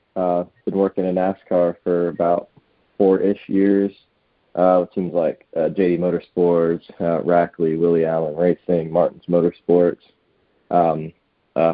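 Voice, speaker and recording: With an American accent, a man speaks at a fairly slow pace in a very deep, low pitch and a monotone, flat intonation. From South Florida (Broward County). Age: 20s. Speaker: racing driver and NASCAR crew member. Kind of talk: podcast interview. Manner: hesitant, many fillers.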